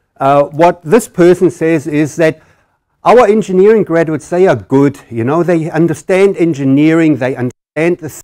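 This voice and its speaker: A man with a German accent speaks at a fairly high pitch, his tone dark and mellow, the sound dry and close with no echo. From Germany. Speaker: engineering professor. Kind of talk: conference presentation. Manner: halting.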